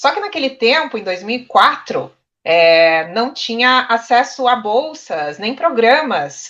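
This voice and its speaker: A bright, sharp tone over a quiet background. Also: woman. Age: 30s. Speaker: journalism student. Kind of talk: panel discussion.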